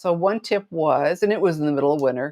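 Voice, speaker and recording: Fairly quick and with ordinary pitch variation, a woman speaks in a normal speaking voice at a fairly low pitch. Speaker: card making demonstrator. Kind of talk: tutorial. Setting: live stream.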